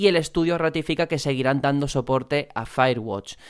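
A man is speaking here. His pace is fairly quick. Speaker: podcast host. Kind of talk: casual chat.

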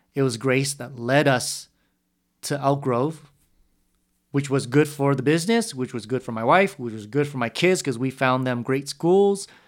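Here is a man at a fairly high pitch with ordinary pitch variation and a moderate pace, in a very clean recording with a silent background. He has a plain, everyday voice. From San Jose, California. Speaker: youth ministry coordinator. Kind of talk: casual chat. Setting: conference center at night.

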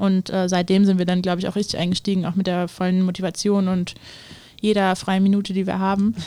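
A woman talks at a very fast pace and medium pitch. Her intonation is monotone and flat. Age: 20s. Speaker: startup co-founder. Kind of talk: interview.

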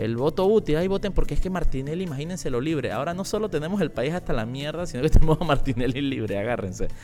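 With a Panamanian accent, the speaker talks at a very fast pace with hardly any pauses and lively intonation while music plays in the background. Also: man, fairly high pitch for a man. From Panama, La Chorrera. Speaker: political commentary podcaster. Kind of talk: casual live-stream commentary. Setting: live video stream.

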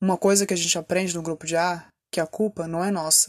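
Speaking at a moderate pace, a woman has a fairly low pitch and monotone, flat intonation. The recording is very clean, with a silent background and a dry, close sound with no echo. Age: 30s. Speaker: podcaster in addiction recovery. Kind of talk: personal testimony monologue.

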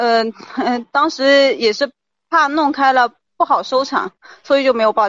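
Pausing long and often, a woman with a high pitch speaks at a moderate pace with ordinary pitch variation. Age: 30s. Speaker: caller, shop owner. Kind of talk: advice call-in. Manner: hesitant.

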